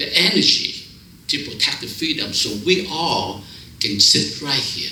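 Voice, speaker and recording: There is audible room echo and noticeable background noise as a man speaks at a moderate pace. He talks with a Vietnamese accent and very wide pitch swings. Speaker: preacher. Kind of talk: sermon.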